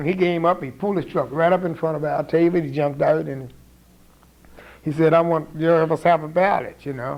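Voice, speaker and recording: An American accent from a man, fairly high-pitched and very fast, with fairly even intonation amid noticeable background noise. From St. Mary's County, Maryland. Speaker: community activist. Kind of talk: oral history interview answer.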